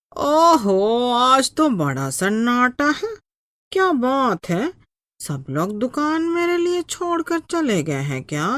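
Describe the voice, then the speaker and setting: Pitched high and swinging very widely, a woman's cartoonish character voice moves at a fairly slow pace. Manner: sharp-tongued, bullying.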